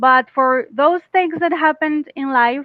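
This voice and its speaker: A woman with a Costa Rican accent speaks at a fairly slow pace in a high voice, with ordinary pitch variation. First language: Spanish. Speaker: English teacher. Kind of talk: casual chat.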